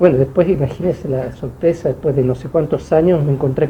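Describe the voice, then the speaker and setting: At a moderate pace, a man with a fairly high pitch keeps his intonation fairly even against noticeable background noise. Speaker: author. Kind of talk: book launch talk. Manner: halting.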